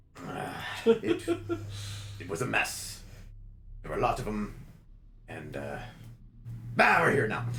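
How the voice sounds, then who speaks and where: Over clear background noise, a man does a gruff, put-on character voice at a fairly slow pace, leaving long, frequent pauses. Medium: actual play. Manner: folksy, joking, ends lines with "eh".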